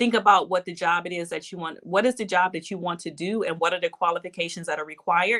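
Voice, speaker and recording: A woman with a fairly low pitch speaks in a bright, sharp tone with a Detroit accent. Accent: US Midwest (Detroit). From Detroit, Michigan. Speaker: bank executive and minister. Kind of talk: interview.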